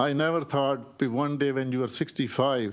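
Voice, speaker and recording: Speaking at a moderate pace, a man with a plain, everyday voice has medium pitch and fairly even intonation. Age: 60s. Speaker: small business owner testifying. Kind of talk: legislative testimony. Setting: committee hearing room. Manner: pleading, emotional.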